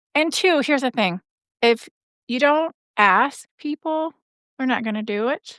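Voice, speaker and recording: Against a quiet background, a woman with a high voice speaks at a fairly slow pace with long, frequent pauses and lively intonation, the sound dry and close with no echo. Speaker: podcast growth coach. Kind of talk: live coaching session.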